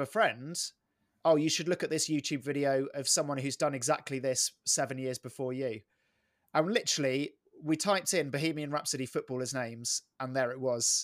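Here a man with an English accent speaks at a moderate pace. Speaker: sports comedian and voiceover artist. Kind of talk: casual interview. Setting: remote call.

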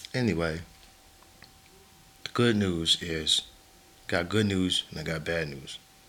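There is noticeable background noise as a man with a very deep, low pitch speaks in an animated tone at a fairly slow pace, his pitch varying in an ordinary way. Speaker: podcast host. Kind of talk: casual solo podcast monologue. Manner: casual, slangy, animated.

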